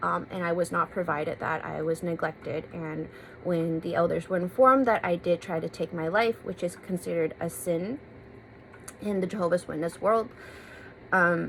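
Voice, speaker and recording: With a West Coast US accent, a woman speaks at a moderate pace. Her pitch is fairly low, with ordinary variation. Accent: General American (West Coast). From US West Coast, San Francisco. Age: 20s. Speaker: vlogger. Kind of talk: personal testimony.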